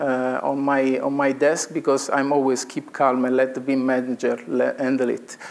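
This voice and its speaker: A man with an Italian accent speaks at a fairly slow pace over noticeable background noise. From Italy. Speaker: engineering consultant. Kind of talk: conference presentation. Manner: halting.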